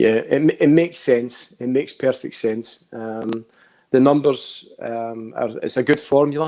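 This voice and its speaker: Speaking fairly slowly in a strong Scottish accent, a man uses a medium pitch, a dark, mellow tone and fairly even intonation. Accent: thick Scottish. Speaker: football pundit. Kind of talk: casual chat.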